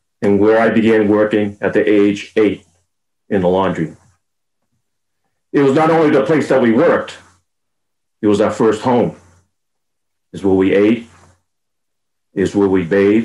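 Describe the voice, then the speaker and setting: A man with a dark, mellow tone and a fairly low pitch talks at a moderate pace, with ordinary pitch variation, very even loudness and long, frequent pauses. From Boston. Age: 70s. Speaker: guest speaker sharing family history. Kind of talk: prepared memoir talk.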